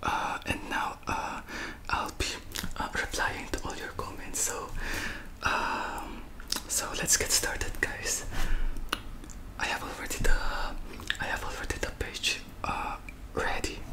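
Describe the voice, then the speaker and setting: A man whispers somewhat slowly, stopping often for long stretches. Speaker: ASMR creator. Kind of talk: casual vlog chat. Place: home room. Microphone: studio mic.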